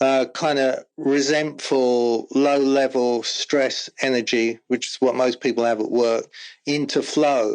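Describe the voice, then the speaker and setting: Over a quiet background, a man with an English accent speaks very slowly at a medium pitch, his intonation monotone and flat. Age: 60s. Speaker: former rock drummer and corporate team-building speaker. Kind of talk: casual interview chat.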